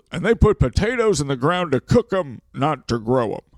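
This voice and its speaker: A man puts on a character voice at a fairly high pitch. He talks at a moderate pace with very wide pitch swings. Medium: comedy sketch. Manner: chatty, inquisitive.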